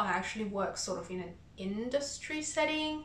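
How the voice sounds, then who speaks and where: A woman with ordinary pitch variation, noticeable background noise and audible room echo. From China. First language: Chinese. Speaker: cross-stitch vlogger. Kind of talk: casual vlog chat. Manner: halting, with fillers.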